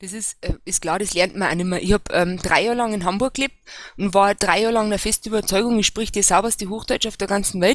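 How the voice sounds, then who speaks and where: With fairly even intonation, a woman talks at a very fast pace and a medium pitch. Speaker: local party official. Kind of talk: casual panel discussion. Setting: voice chat online.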